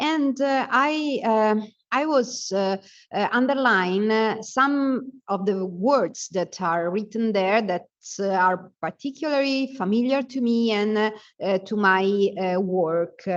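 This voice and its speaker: A woman with an Italian accent, fairly high in pitch, ordinary in pitch variation and very slow in pace. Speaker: urban planning professor. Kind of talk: conference presentation. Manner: halting, many fillers.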